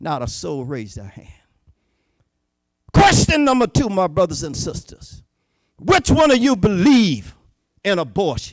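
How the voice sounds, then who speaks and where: With a Southern US accent and an animated tone, a man talks at a fairly slow pace in a high pitch with very wide pitch swings. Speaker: Baptist preacher and political candidate. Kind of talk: political speech.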